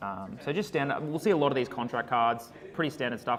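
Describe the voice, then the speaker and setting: A man talks at a fairly quick pace with an Australian accent and ordinary pitch variation. Noticeable background noise sits behind him. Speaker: card game commentator. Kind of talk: live commentary. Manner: quieter; loud.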